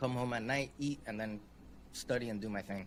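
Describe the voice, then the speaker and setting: A man talks at a fairly quick pace with a Spanish accent. His pitch is medium and his intonation fairly even. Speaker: UX designer, consultancy founder. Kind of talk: interview, career story. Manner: casual, many fillers.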